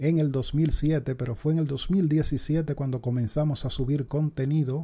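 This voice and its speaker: Somewhat breathy and dark, mellow in tone, a man speaks very slowly at a fairly high pitch with fairly even intonation. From Dominican Republic. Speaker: YouTube sports channel host doing parody baseball announcer. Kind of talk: parody baseball play-by-play narration, mock broadcaster style. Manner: hushed, whispering so as not to wake his mother. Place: home room.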